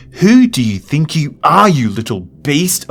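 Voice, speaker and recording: A man puts on a shrill, furious character voice at a fairly high pitch. His pitch swings very widely at a moderate pace. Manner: shrieking, furious.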